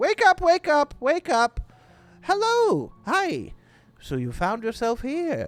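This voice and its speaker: This is a put-on character voice with a high pitch. The delivery is fairly slow. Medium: actual play. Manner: repetitive, eager.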